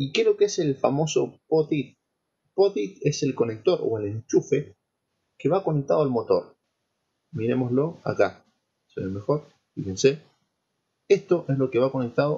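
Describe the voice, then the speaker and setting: This man's delivery moves fairly slowly. Long pauses come often between his words. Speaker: lecturer in petroleum engineering. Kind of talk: lecture.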